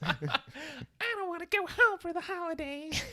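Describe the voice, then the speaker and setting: An extremely high, whiny put-on character voice. It moves along at a moderate pace. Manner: comically whiny.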